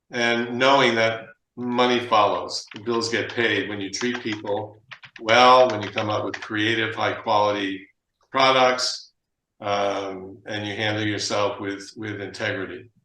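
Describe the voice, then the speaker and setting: In a room with audible echo, a man talks fairly slowly at a medium pitch, his bright, sharp tone kept monotone and flat. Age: 70s. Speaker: sports equipment business owner. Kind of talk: discussion. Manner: halting.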